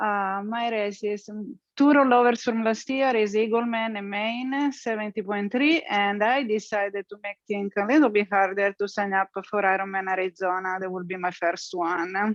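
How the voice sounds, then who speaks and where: A woman speaks with an Italian accent at a moderate pace, hardly pausing at all. Her medium-pitched voice has ordinary pitch variation, and the sound is dry and close with no echo. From Italy. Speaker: triathlete. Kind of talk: casual self-introduction.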